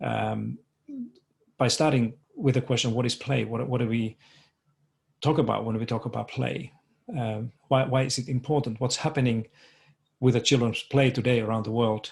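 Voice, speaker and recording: Someone with a Finnish accent reads in a somewhat breathy voice with fairly even intonation and long, frequent pauses, in a very clean recording with a silent background. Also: man, medium pitch for a man, moderate pace. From Finland. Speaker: education researcher. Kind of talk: conference presentation. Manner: halting, many fillers and repetitions.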